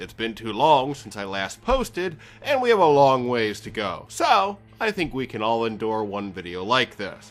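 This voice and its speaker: Over music in the background, a man talks at a moderate pace and medium pitch. His pitch swings very widely, and his loudness shifts in big swings. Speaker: gaming video reviewer. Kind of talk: game review narration.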